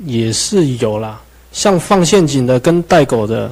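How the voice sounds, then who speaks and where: A man talks at a very slow pace. His medium-pitched voice carries lively intonation. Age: young. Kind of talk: interview conversation. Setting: radio studio with video stream. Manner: quiet.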